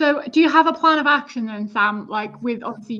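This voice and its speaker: In a Liverpool accent, a woman with a high pitch and a bright, sharp tone speaks at a moderate pace. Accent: Liverpool (Scouse). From Liverpool, England. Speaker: reseller. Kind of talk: casual chat.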